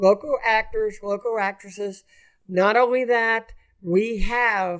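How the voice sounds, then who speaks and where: A man's high-pitched voice with an American accent, very slow and fairly even in intonation, on a very clean recording with a silent background. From Los Angeles, East LA. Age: 70s. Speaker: actor and film director. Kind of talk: casual podcast interview.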